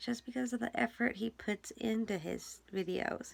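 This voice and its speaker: A quiet woman's voice at a moderate pace. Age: 30s. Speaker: vlogger. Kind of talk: casual chat. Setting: home basement.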